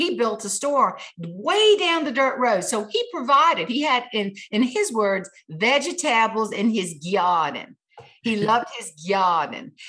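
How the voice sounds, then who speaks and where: Speaking fairly slowly in a South Carolina accent, a woman with a fairly high, bright, sharp tone swings her pitch very widely. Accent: Southern US (South Carolina). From US South, South Carolina tomato farm. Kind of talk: interview.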